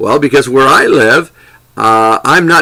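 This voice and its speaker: Bright and sharp in tone, a man's fairly high-pitched voice moves with ordinary pitch variation. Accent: American. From US South, Lower Alabama. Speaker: English teaching trainer. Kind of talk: lecture. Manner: deliberate, clear enunciation; hesitant, with repeated words and fillers.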